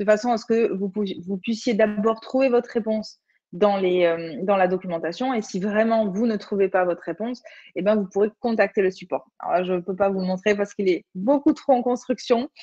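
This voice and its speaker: A woman speaks at a fairly quick pace in a dark, mellow tone, medium in pitch with ordinary pitch variation. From Occitanie, southern France. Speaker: online platform community manager presenter. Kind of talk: webinar presentation with screen demo. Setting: video conference webinar. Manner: hesitant, many fillers.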